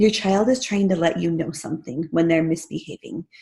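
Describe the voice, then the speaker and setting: Her tone is dark and mellow. This woman's voice carries vocal fry. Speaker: parenting mentor and school behavior specialist. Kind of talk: online training webinar.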